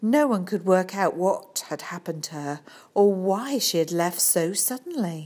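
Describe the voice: The clip is plain reading aloud. Its intonation is lively.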